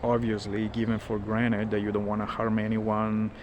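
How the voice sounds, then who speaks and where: A man speaks in a fairly low pitch with monotone, flat intonation at a moderate pace. Background noise is noticeable. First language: not English. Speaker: spiritual content creator. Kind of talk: casual monologue, walk and talk. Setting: outdoors, walking. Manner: halting, many fillers. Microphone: smartphone recording.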